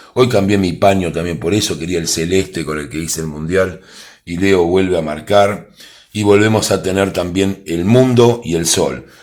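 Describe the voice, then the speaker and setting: In a very deep, low voice with ordinary pitch variation, a man speaks amid audible room echo. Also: moderate pace. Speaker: tarot reader and football predictor. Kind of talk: tarot prediction monologue. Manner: animated.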